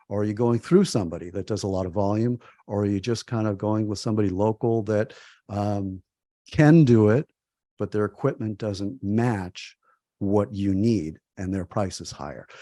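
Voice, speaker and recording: A man speaks with a fairly low pitch, a dark, mellow tone and ordinary pitch variation. The sound is dry and close with no echo, over a quiet background. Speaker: publishing consultant. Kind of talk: webinar presentation. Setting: webinar. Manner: fast.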